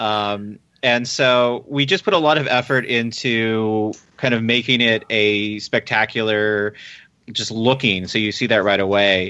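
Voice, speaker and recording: At a fairly slow pace, a man speaks at a medium pitch in a plain, everyday voice, with fairly even intonation and very even loudness. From US military family, moved around (Virginia). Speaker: fan conference organizer. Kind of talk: interview.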